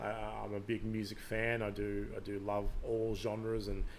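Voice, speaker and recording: A man with a slight Australian accent speaks at a fairly slow pace in a fairly low pitch, his intonation monotone and flat, with audible room echo. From Canada. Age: 40s. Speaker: podcast host. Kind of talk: live stream monologue. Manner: hesitant, many fillers.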